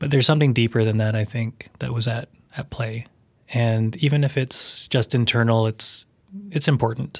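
A somewhat breathy man with a Canadian accent speaks at medium pitch and a moderate pace with fairly even intonation, on a very clean recording with a silent background. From Canada, Vancouver suburb. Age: 40s. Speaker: documentary filmmaker. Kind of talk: interview. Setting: studio. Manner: halting.

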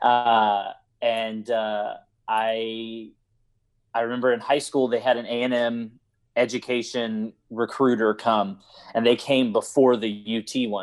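With an American accent, a man of medium pitch speaks at a very slow pace in a monotone, flat intonation. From Houston, Texas. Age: 30s. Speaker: high school theater director. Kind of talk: interview.

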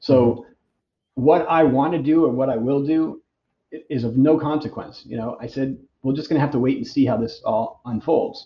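A somewhat breathy man with an American accent, fairly high pitch, ordinary pitch variation and a moderate pace. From Boston, US. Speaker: massage therapist and clinic owner. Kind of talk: casual interview.

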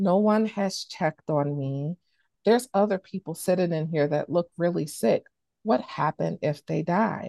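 A woman with an American accent speaks in a fairly low voice with ordinary pitch variation. Her pace is moderate and the background is quiet. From Chicago, Illinois, US Midwest. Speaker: healthcare equity program director. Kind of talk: interview conversation.

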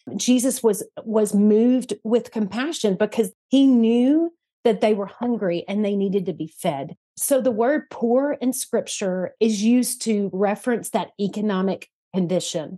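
Speaking at a fairly slow pace with a Southern US accent, a woman with a fairly high pitch and a dark, mellow tone shows ordinary pitch variation in a dry, close sound with no echo. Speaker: church partnerships manager at a charity. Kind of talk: interview, casual conversational.

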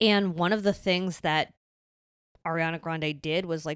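Speaking at a moderate pace with fairly even intonation, a woman with a fairly low pitch is heard on a very clean recording with a silent background. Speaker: podcast co-host. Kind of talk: casual chat. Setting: studio. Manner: loud.

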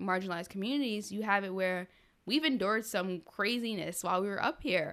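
A woman with an American accent speaks at a medium pitch with ordinary pitch variation, in a normal speaking voice. The recording is very clean, with a silent background. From Rockland County, New York. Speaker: college violence prevention coordinator. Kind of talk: casual interview. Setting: home studio.

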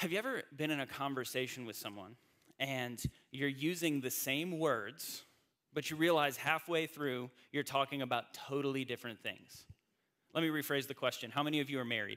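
A man speaks at a moderate pace with a Southern US accent. His fairly high voice has a bright, sharp tone and ordinary pitch variation. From North Carolina, US South. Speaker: pastor. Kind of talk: sermon.

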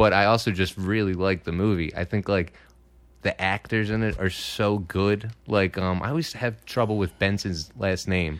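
Here a man speaks in a Philadelphia accent at a moderate pace. His intonation is fairly even on a very clean recording with a silent background. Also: fairly low pitch for a man. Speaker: comedian. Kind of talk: casual chat. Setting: studio.

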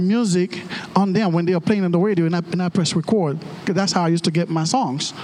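Over noticeable background noise, a man talks at a fairly quick pace in an animated tone with a high pitch. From Haiti. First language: Haitian Creole. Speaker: pastor. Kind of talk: sermon. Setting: church.

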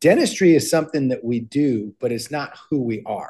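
At a moderate pace, a man speaks in a fairly high pitch with ordinary pitch variation and a dark, mellow tone. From Minnesota. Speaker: dentist. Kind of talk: interview.

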